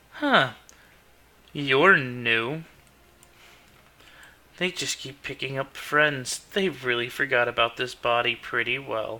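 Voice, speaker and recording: A man performs in a put-on character voice. He leaves long, frequent pauses. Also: medium pitch for a man, fairly slow pace. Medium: actual play. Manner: sneering, taunting.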